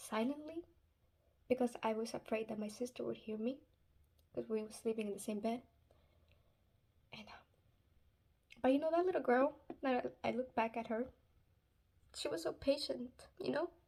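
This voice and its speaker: With a Spanish accent, a woman speaks in a high pitch and a dark, mellow tone at a moderate pace, with ordinary pitch variation, big swings in loudness and long, frequent pauses. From Spanish-speaking country, moved to US at eight. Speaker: Islamic advice vlogger. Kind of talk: casual religious advice talk. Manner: hesitant, many fillers.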